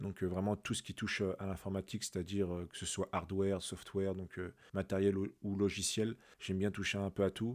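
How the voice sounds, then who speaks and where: Monotone and flat, a man speaks in a fairly low voice. The recording is very clean, with a silent background. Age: 30s. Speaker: podcast host, digital freelancer. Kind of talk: casual monologue. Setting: solo at microphone. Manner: hesitant, many fillers.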